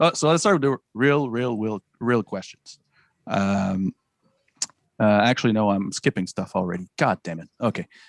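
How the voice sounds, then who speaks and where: A man's fairly low voice with a Quebec French accent, lively intonation and a moderate pace, in a dry, close sound with no echo. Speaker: podcast host. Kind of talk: casual chat. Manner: halting.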